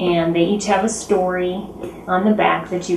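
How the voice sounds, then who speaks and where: A woman talks at a moderate pace, fairly low in pitch. Her intonation is monotone and flat, with noticeable background noise behind her. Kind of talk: interview answer. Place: home room.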